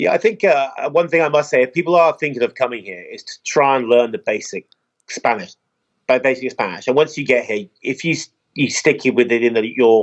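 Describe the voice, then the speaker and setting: In a southern English accent, the speaker talks at a fairly quick pace with lively intonation and big swings in loudness. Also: man, medium pitch for a man. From England, Oxford. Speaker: expat resident. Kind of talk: casual chat.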